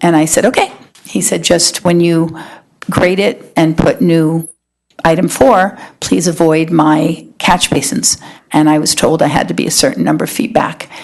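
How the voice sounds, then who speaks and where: Speaking at a moderate pace, a woman uses a fairly low pitch with vocal fry and very even loudness. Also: lively intonation. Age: 60s. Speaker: restaurant owner. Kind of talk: public hearing testimony. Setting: town planning board meeting.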